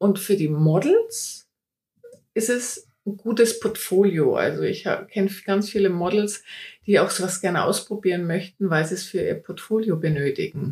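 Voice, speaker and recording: A woman speaks at a moderate pace and medium pitch with ordinary pitch variation. Her tone is dark and mellow, and somewhat breathy. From Upper Franconia, Germany. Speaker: portrait photographer. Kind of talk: interview.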